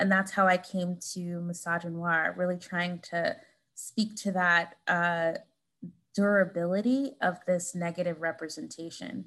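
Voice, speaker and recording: At a fairly slow pace, a woman uses an unremarkable speaking voice with fairly low pitch and fairly even intonation, on a very clean recording with a silent background. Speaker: author, professor. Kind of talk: interview conversation about her book.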